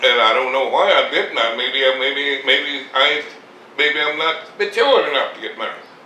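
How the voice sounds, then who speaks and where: Fairly high male speech at a moderate tempo, its pitch varying in an ordinary way, against noticeable background noise. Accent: American. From Mississippi, Southern US. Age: 80s+. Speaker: farmer, war veteran. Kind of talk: interview answer. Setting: at home.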